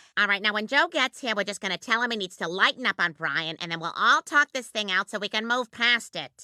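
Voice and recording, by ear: A cartoonish character voice from a woman, fairly high-pitched and fairly quick, with lively intonation and a dry, close sound with no echo. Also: hardly any pauses.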